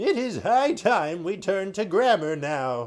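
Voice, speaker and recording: A loud, put-on character voice moves at a fairly slow pace. Its pitch swings very wide. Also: man. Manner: loud, silly.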